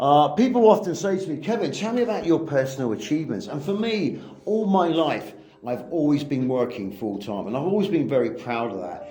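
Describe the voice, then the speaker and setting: Fairly quick, fairly high-pitched male speech with very wide pitch swings, audible room echo and noticeable background noise. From southern England, Southampton. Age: 50s. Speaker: English teacher. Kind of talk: personal monologue.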